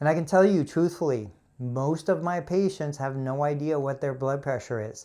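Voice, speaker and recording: A man with an ordinary speaking voice talks at a moderate pace, his fairly high pitch showing ordinary variation, on a very clean recording with a silent background. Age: 50s. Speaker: physical therapist. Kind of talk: live stream product review. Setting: physical therapy clinic. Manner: casual, conversational.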